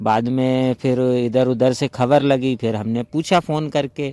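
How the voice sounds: At a medium pitch, a man delivers a dark, mellow tone with fairly even intonation at a fairly slow pace, the sound dry and close with no echo.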